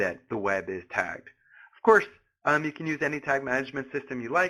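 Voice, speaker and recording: Speaking in an American accent, a man with vocal fry and a fairly high pitch makes very wide pitch swings. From US, Philadelphia. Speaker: analytics product evangelist. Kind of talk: webinar presentation. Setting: live webinar. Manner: halting, many fillers.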